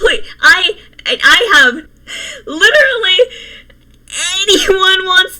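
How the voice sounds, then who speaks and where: Through noticeable background noise, a woman uses a raised, projected voice at an extremely high pitch, swinging very widely in pitch at a very slow pace. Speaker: commentary youtuber. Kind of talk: reading aloud with commentary. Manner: stuttering.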